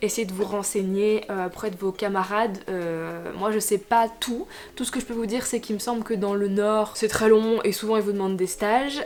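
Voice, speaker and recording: A woman's fairly high voice keeps a fairly even intonation while noticeable background noise sits behind it. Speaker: occupational therapist vlogger. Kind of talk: Q&A vlog. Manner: fast; hesitant, many fillers.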